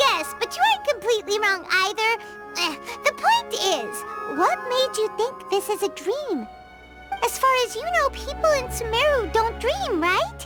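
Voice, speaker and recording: Loud music plays in the background as a cartoonish character voice with an extremely high pitch talks at a moderate pace. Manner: excitable, chatty.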